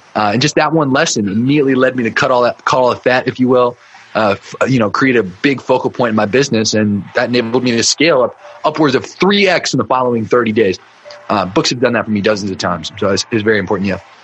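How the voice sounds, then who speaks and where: Very fast speech from a man at medium pitch, with ordinary pitch variation and noticeable background noise. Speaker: marketing agency owner and business mentor. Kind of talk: podcast interview.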